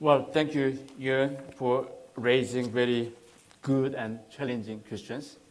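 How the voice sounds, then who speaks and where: A man with a Korean accent speaks at a very slow pace and medium pitch, in a monotone, flat intonation. Noticeable background noise and audible room echo fill the recording. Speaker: think tank researcher. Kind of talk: Q&A answer; lecture. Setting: public seminar with audience. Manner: halting.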